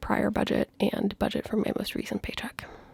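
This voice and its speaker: A woman whispering at a fairly quick pace, in a dry, close sound with no echo. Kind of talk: casual personal finance vlog talk to camera. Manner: quiet, lowered volume.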